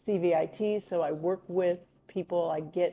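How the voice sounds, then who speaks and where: This woman has an unremarkable speaking voice. Her pitch is fairly low, and her intonation is fairly even. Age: 60s. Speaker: youth education director. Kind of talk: interview.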